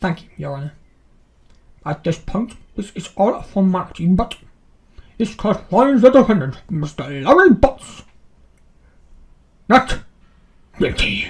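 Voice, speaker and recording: A put-on character voice sits at a middle pitch. It moves at a moderate pace with long, frequent pauses. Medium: solo performance. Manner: formal, halting.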